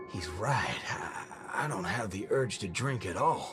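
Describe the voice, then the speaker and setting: A man's put-on character voice at medium pitch, fairly slow, over clear music in the background. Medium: game stream. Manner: gruff, folksy drawl.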